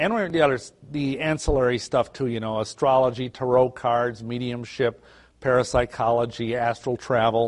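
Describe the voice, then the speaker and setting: A plain, everyday voice from a man with an American accent, medium pitch, fairly even intonation, and a moderate pace. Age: 50s. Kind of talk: lecture.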